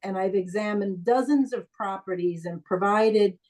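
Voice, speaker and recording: A woman speaks with an ordinary speaking voice. Her pace is fairly slow and her pitch variation ordinary. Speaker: property owner appealing tax assessment. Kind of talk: testimony at public hearing.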